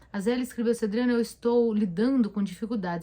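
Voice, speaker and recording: A woman speaks at a very fast pace in a fairly high pitch. Her voice is somewhat breathy. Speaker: therapist. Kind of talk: live stream Q&A talk. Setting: live stream on camera. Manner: conversational, with hesitations.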